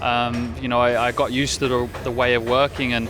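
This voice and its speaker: A man speaks at a fairly quick pace with music in the background. His pitch is medium. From Birmingham, England. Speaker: racing driver. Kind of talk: interview. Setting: pre-season testing at a race track. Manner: halting, many fillers.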